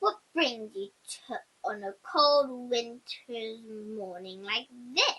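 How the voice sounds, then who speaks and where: A woman's put-on character voice, fairly high-pitched, at a very slow pace. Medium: read story.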